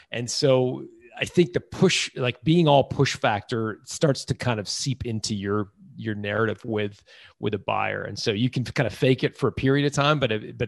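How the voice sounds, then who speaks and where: At a moderate pace and medium pitch, a man speaks with vocal fry and ordinary pitch variation, the sound dry and close with no echo against a quiet background. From Toronto, Canada (emigrated from England at about five). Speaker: business author and entrepreneur. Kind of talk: interview. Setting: remote call.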